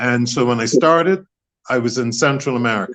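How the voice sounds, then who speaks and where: With a Bermudian accent, a man at medium pitch speaks at a moderate pace with ordinary pitch variation. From Bermuda. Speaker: author and former politician. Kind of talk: interview.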